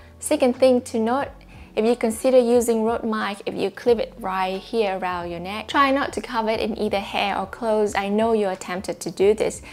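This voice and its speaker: The speaker has a Vietnamese accent and ordinary pitch variation. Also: woman, fairly high pitch for a woman, moderate pace. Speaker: YouTuber. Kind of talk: tutorial monologue to camera. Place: home room. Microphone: lapel.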